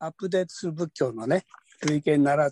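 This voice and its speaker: A man talks at a moderate pace with a fairly high pitch and ordinary pitch variation, an ordinary speaking voice. The sound is dry and close, with no echo. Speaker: workshop participant asking question. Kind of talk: question to speakers. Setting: video call.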